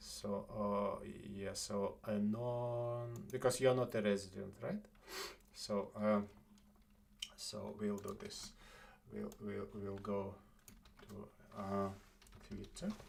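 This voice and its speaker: A man with a non-native accent talks at a very slow pace. His pauses are long and frequent. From Estonia. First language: not English. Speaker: live streamer. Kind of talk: casual chat. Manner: halting.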